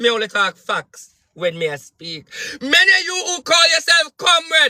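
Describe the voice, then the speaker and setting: In a raised, projected voice and an animated tone, a man speaks fairly slowly at an extremely high pitch with lively intonation, in a dry, close recording with no echo. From Jamaica. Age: 30s. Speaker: spiritual advisor and political commentator. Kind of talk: political rant monologue.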